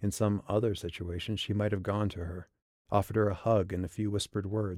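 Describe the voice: Over a quiet background, someone does plain reading aloud, the intonation staying fairly even.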